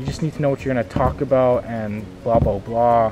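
A man's voice comes through while clear music sounds behind him. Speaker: vlogger. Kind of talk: casual vlog chat. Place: open country. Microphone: phone near.

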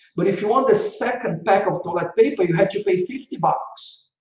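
A man with a Brazilian accent at a moderate pace, with ordinary pitch variation. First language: Portuguese. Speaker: marketing consultant and guest lecturer. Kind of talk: guest lecture. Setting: video call. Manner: animated.

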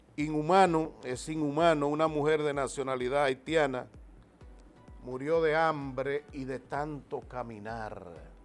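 Over faint music in the background, a man speaks at a very slow pace with a fairly high pitch and fairly even intonation. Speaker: TV host and announcer. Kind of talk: TV news commentary. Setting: TV studio. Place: studio. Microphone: lapel.

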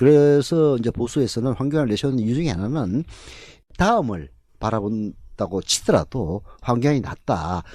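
A man's dark, mellow tone with lively intonation at a fairly slow pace, over a quiet background. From South Korea, Jinju (Gyeongsang). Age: 50s. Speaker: political commentator. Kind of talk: political talk show discussion.

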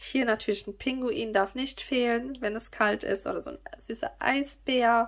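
A woman at a fairly slow pace over a quiet background. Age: 30s. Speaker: YouTuber and online shop owner; YouTuber. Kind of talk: casual product presentation to viewers. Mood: cheerful, gushing.

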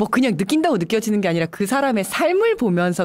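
A woman is speaking. Her pace is very fast. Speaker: party activist co-host. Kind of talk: casual interview. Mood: animated, smiling. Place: studio. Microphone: studio mic.

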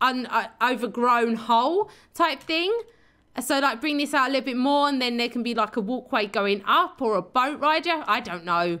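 This woman speaks at a moderate pace in a high voice with a bright, sharp tone. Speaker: gaming YouTuber. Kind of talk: gameplay commentary. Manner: casual, rambling with fillers.

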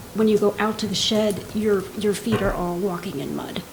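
A woman in audible room echo with noticeable background noise. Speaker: resident speaking at public comment. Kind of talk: public comment at council meeting. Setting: council meeting with microphone.

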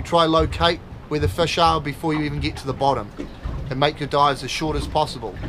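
Light background noise runs under the recording. A man speaks at a very fast pace with ordinary pitch variation. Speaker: presenter. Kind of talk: tutorial. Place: boat. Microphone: camera far.

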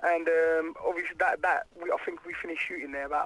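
The sound is dry with no echo as a man speaks very fast. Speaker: radio interviewee. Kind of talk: interview answer. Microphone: phone line.

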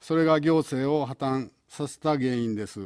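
A man speaks at a fairly slow pace with a dark, mellow tone and fairly high pitch. His pitch varies in an ordinary way, and the background is quiet. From Osaka. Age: 70s. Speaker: gubernatorial candidate; election candidate. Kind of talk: campaign speech; political campaign broadcast statement. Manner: halting. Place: studio. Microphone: podium.

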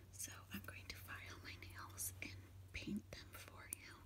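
A woman's voice against noticeable background noise. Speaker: ASMR creator. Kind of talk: ASMR whisper video. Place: home room. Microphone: phone near.

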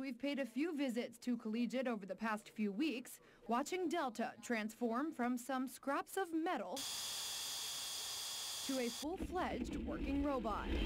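A woman's high-pitched voice, lively in intonation, at a fairly slow pace with hardly any pauses and very even loudness, over noticeable background noise. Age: young. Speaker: TV news reporter and anchor. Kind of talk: TV news feature narration.

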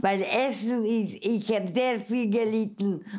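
Very slowly and in a flat monotone, a woman with a fairly high voice speaks over a quiet background. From Mukachevo, western Ukraine (then Czechoslovakia). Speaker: Holocaust survivor. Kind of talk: interview answer. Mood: earnest, animated, emotional memories. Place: home room.

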